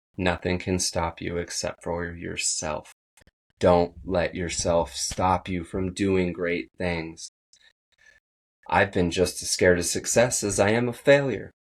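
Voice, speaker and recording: A man speaks in a very deep, low, shaky voice at a very slow pace. His intonation is fairly even against a quiet background. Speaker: podcast host. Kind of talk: motivational monologue.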